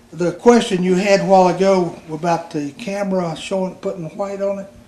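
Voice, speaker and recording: A man with a high voice and fairly even intonation talks in big swings of loudness over noticeable background noise. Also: fairly quick pace. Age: 60s. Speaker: grandfather and retired Army veteran. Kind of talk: casual family chat. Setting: family Christmas gathering at home. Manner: halting, with frequent fillers.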